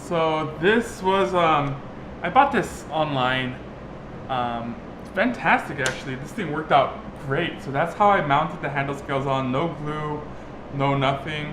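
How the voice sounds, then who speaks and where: A man at a fairly high pitch with ordinary pitch variation, speaking at a fairly slow pace amid audible room echo and noticeable background noise. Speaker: DIY vlogger. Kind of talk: casual tutorial vlog. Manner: halting, filler-heavy.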